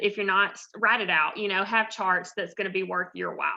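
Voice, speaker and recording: The tone is bright and sharp, and the background is quiet. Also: woman. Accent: Southern US. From US South, north Georgia. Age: 30s. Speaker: personal trainer. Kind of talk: guest talk with Q&A. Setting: video call.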